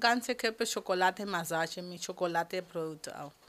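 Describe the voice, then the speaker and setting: A woman speaks at a moderate pace with lively intonation, captured in a very clean recording with a silent background. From Colombia, Cali. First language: Spanish (speaking German). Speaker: beautician. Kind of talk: interview.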